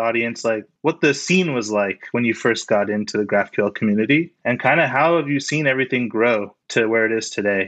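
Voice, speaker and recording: Against a quiet background, a man with a normal speaking voice talks at a fairly quick pace and medium pitch with ordinary pitch variation. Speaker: podcast co-host. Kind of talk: casual interview chat.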